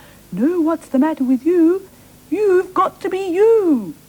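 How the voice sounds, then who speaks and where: A woman's squeaky, extremely high put-on character voice at a fairly slow pace. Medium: read story.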